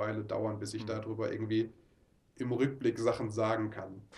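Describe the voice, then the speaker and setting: A man's somewhat breathy voice moves along at a fairly quick pace. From Ruhr area, Oberhausen. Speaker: mission trip leader. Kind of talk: interview. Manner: halting.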